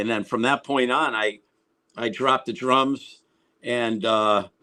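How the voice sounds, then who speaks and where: Bright and sharp in tone, a man speaks at a fairly slow pace with fairly even intonation on a very clean recording with a silent background. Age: 60s. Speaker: rock guitarist. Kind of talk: interview. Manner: halting, many fillers and repeats.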